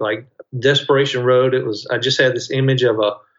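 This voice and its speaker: A man talks in a Mississippi accent at a medium pitch. His pace is moderate and his intonation fairly even. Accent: Mississippi Southern US. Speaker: novelist. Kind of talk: interview.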